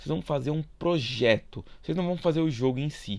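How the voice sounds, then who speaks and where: Lively intonation marks a man's voice on a very clean recording with a silent background. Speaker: school geography teacher. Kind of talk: recorded video lesson. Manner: fast; casual, informal.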